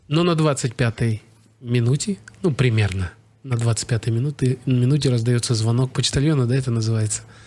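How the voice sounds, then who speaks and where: Somewhat breathy and at a medium pitch, a man speaks at a moderate pace with ordinary pitch variation and very even loudness. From Kazakhstan. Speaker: actor and screenwriter. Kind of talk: casual chat.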